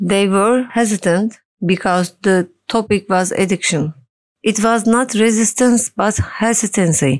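With a Turkish accent, a woman speaks at a medium pitch with ordinary pitch variation, and the sound is dry and close with no echo. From Turkey. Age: 40s. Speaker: social worker and addiction consultant in recovery. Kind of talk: testimony.

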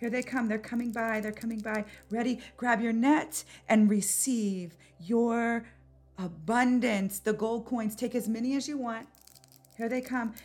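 In an unremarkable speaking voice, a woman talks at a fairly slow pace with fairly even intonation and a fairly high pitch. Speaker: podcast host and spiritual coach. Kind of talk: guided meditation. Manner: slow, calm, soothing, with paced breathing cues; gentle, intimate, and encouraging.

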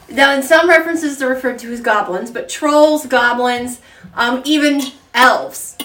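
A woman talks at a high pitch with ordinary pitch variation. Her loudness swings widely, and background noise is noticeable. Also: moderate pace. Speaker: co-host telling folklore. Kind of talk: casual storytelling chat.

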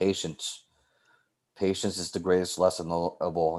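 With a New York accent, a man speaks at a moderate pace on a very clean recording with a silent background. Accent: New York City. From New York City, South Bronx. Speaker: teacher and softball coach. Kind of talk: interview conversation.

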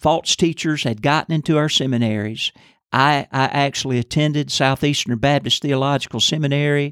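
A man speaks in a plain, everyday voice, fairly high in pitch with fairly even intonation and very even loudness. His pace is moderate, and the recording is very clean with a silent background. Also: dry, close sound with no echo. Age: 60s. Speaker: pastor. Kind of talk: Bible teaching podcast.

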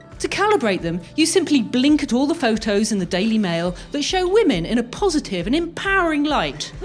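Over noticeable background noise, a woman talks at a fairly quick pace in a high pitch, with very wide pitch swings. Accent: British. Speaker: inventor and comedy podcast co-host. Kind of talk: live comedy show with sketches. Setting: stage with audience. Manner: animated.

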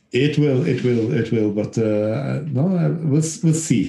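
This man has a dark, mellow tone with ordinary pitch variation. He talks at a fairly slow pace. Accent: Norwegian. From western Norway. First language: Norwegian. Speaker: former footballer and novelist. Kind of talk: interview. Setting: remote call. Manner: halting.

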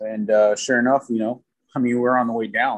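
In an American accent, a man with a medium pitch talks at a fairly quick pace in an ordinary speaking voice. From South Florida. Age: 30s. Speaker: father, podcast guest. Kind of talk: casual chat.

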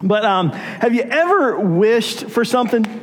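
Audible room echo around a man's voice of ordinary pitch variation. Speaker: pastor. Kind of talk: sermon. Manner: casual, conversational.

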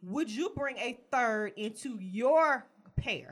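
A woman speaks in an animated tone with lively intonation. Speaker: podcast co-host. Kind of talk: casual chat.

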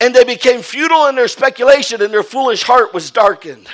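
A man speaks at an extremely high pitch with ordinary pitch variation. His tone is animated, bright and sharp. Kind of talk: sermon. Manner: animated call-and-response preaching, repeating phrases and prompting "Amen"; emphatic, rising-intensity delivery urging the congregation to stand.

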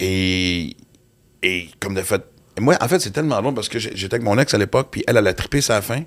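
This man has an unremarkable speaking voice with a fairly low pitch and a fairly quick pace. The recording is very clean, with a silent background. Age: 50s. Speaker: comedian and podcast host. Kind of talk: casual chat. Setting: studio.

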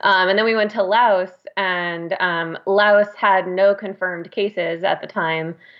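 This woman has an unremarkable speaking voice. She talks at a medium pitch with fairly even intonation. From New York. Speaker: audiobook narrator and actor. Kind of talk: casual chat.

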